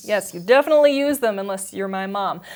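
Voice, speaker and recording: Lively in intonation, a woman talks at a fairly quick pace in a plain, everyday voice. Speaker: multimedia journalist, news anchor and weather forecaster. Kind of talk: TV news anchor and field reporting.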